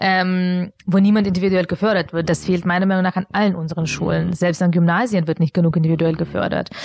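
A woman's fairly low, monotone, flat delivery, very fast with hardly any pauses and very even loudness. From Bavaria, Augsburg. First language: not German (speaking German). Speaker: founder of a social enterprise. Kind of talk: interview. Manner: hesitant with many fillers.

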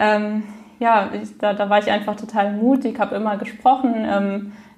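There is noticeable background noise. A woman talks at a medium pitch. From Frankfurt, Germany. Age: 20s. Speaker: stuttering self-help group leader. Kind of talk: interview. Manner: repetitions and blocks.

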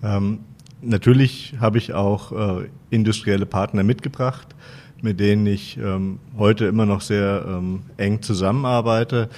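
Speech unfolds fairly slowly, its intonation staying fairly even. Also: man, fairly low pitch for a man. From Wetzlar, central Hesse, Germany. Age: 40s. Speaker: professor, university vice president. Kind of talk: interview. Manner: hesitant, many filler sounds.

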